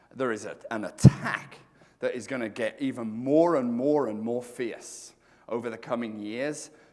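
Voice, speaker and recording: The speaker goes at a fairly slow pace with ordinary pitch variation, and the room echo is audible. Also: man. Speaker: real estate speaker. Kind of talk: conference talk. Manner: loud; animated.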